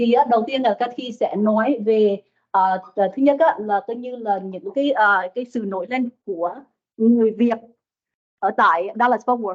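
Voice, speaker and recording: A woman speaks at a fairly high pitch with a Vietnamese accent. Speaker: business professor and former banker. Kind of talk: presentation to live audience. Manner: fast.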